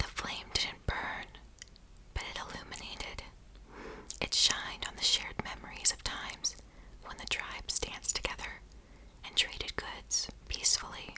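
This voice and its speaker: Whispered speech, broken by long and frequent pauses, sits over clearly noticeable background noise. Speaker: ASMR artist. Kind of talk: bedtime story reading. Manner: soft, slow, calming.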